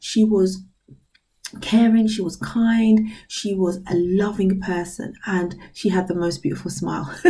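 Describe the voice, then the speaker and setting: A woman speaks at a fairly slow pace in a British accent. Her intonation is fairly even, and audible room echo surrounds her voice. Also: medium pitch for a woman. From UK. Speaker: inspirational vlogger. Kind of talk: motivational talk to camera. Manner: casual, hesitant with fillers.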